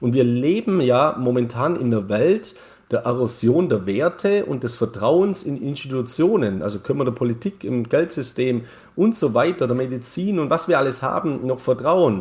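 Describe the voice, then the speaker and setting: In a very clean recording over a silent background, a man talks at a moderate pace and medium pitch, somewhat breathy, with lively intonation. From Bavarian Swabia, Germany (Neu-Ulm). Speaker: crypto market commentator. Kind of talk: casual interview.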